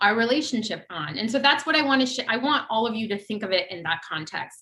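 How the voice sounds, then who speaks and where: A woman's fairly high voice at a very fast pace, with very wide pitch swings. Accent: Ohio. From US Midwest, Ohio. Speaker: former government policy advisor, panelist. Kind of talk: panel discussion talk. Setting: virtual event, video call.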